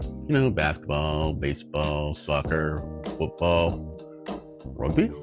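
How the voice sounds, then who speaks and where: With music in the background, a man with a very deep, low pitch speaks at a fairly slow pace. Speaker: vlogger living with Parkinson's. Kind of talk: casual talk to camera.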